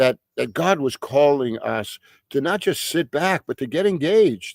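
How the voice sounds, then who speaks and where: In a New York accent, a man speaks at a fairly slow pace with lively intonation, the sound dry and close with no echo. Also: very clean recording, silent background. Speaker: pastor. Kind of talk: bible study teaching. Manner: halting with frequent fillers and repetitions.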